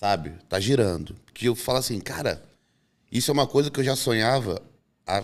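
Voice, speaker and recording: The voice has vocal fry and a fairly quick pace, with lively intonation. Long pauses come often, and the loudness stays very even. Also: man. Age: 30s. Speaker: bodybuilder; podcast guest. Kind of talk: podcast chat. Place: studio. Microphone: studio mic.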